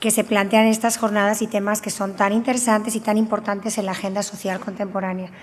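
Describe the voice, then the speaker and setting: A woman at a fairly high pitch and fairly quick pace, flat and monotone in intonation. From Spain, Valencia region (Alcoy, Alicante). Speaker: researcher and university professor. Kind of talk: conference talk. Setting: conference with audience.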